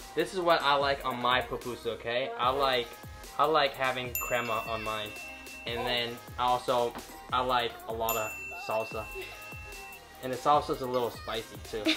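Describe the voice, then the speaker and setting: Clear music plays in the background as a man speaks at a moderate pace with long, frequent pauses. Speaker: food vlogger. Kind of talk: casual vlog chat. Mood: relaxed, cheerful. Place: home room. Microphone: phone near.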